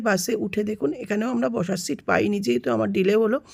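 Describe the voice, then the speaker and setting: A woman speaks at medium pitch with vocal fry. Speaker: vlogger. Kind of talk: travel vlog narration.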